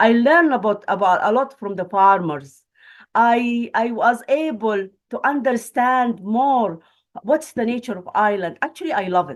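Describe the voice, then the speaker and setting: Delivery comes at a moderate pace in a Palestinian accent. The intonation is lively. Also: woman, fairly high pitch for a woman. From Palestine. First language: Arabic. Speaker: academic and refugee. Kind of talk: webinar panel talk. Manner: halting.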